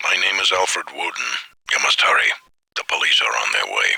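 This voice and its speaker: A man puts on a raspy character voice pitched extremely high. He speaks at a fairly quick pace. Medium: video game. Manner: formal, measured.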